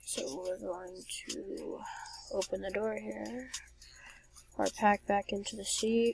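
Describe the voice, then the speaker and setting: A woman speaks at a very slow pace, leaving long, frequent pauses. Music plays behind her. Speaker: gaming youtuber. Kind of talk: gameplay commentary. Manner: slurred.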